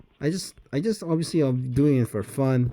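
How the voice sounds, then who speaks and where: Against noticeable background noise, a man talks at a moderate pace with ordinary pitch variation. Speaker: mobile game streamer. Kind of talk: casual gameplay commentary. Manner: halting, many fillers; mumbling when playing manually.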